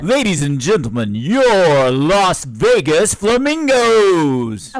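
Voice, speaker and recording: A man in a put-on character voice, high-pitched and very slow, with very wide pitch swings and light background noise. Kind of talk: announcer.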